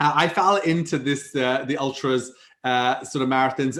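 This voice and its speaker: On a very clean recording with a silent background, a man speaks in a Welsh accent. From Wales. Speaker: startup CEO and ultramarathon runner. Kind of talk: podcast interview answer. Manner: casual, conversational.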